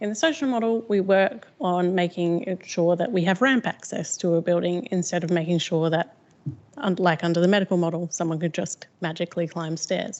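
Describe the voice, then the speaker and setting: A woman with a fairly low pitch and ordinary pitch variation. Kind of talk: talk. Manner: fast.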